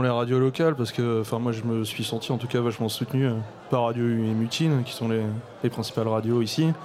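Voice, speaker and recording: Noticeable background noise accompanies a man's voice. He speaks fairly quickly with fairly even intonation. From Brittany, Morlaix. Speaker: rapper. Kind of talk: panel discussion. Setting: stage with audience.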